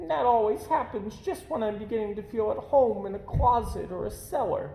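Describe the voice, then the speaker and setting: Putting on a character voice, a man speaks at a high pitch and moderate pace. Clear background noise is present. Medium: read story. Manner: gruff, scornful.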